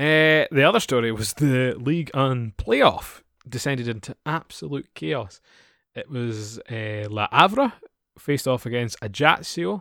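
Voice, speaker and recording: A man with a Scottish accent at a medium pitch, a bright, sharp tone and lively intonation, at a fairly slow pace, on a very clean recording with a silent background and a dry, close sound with no echo. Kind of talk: casual chat.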